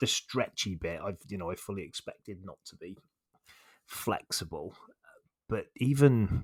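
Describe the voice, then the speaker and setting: A man with a West Country accent speaks at a fairly low pitch, the sound dry and close with no echo. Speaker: podcast host. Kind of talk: podcast interview.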